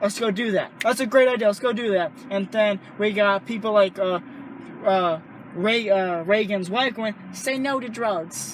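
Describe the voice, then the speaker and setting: Speaking high for a man, this man has an animated tone and a fairly slow pace. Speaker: stand-up comedian. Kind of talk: casual chat. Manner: loud.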